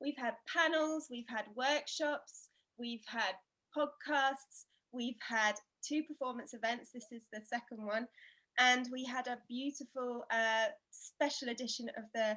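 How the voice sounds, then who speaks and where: The voice has a bright, sharp tone with ordinary pitch variation. It moves at a fairly slow pace. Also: woman. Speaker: festival committee member. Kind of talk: event host welcome speech.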